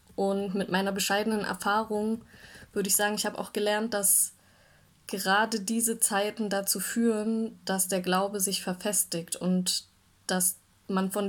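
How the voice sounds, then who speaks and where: At a moderate pace, a woman speaks at medium pitch in a monotone, flat intonation. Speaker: church devotional speaker. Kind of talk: devotional talk.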